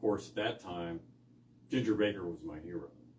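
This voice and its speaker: This man's voice is somewhat breathy. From San Francisco Bay Area. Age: 60s. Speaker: blues guitarist. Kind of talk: casual interview chat. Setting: rehearsal studio.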